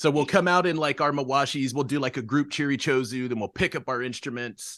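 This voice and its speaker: A man with an American accent, animated in tone, at a fairly quick pace, with ordinary pitch variation against a quiet background. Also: fairly high pitch for a man. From Oklahoma, Norman. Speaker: sumo wrestler and punk musician. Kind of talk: casual chat.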